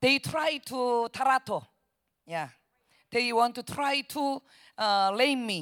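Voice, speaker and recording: A woman with a Korean accent talks at a high pitch with lively intonation on a very clean recording with a silent background. Her pace is very slow, with long, frequent pauses. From South Korea. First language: Korean (speaking Spanish). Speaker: missionary preacher. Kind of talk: sermon. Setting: church. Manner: halting.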